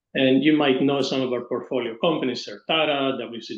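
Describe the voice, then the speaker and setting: Here a man speaks in an ordinary speaking voice. His pitch is medium and his pace moderate. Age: 60s. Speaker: pharma industry executive and investor. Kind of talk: webinar panel discussion.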